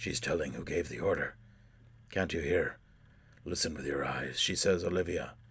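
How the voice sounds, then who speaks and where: In a put-on character voice of very deep, low pitch, a man talks at a moderate pace with long, frequent pauses. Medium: read story. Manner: repetitive, fragmented.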